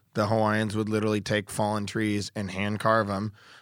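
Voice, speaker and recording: A man whose pitch is fairly low talks at a moderate speed. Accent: American. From Oregon, US. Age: 40s. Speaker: surfboard shaper. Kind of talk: interview. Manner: energetic.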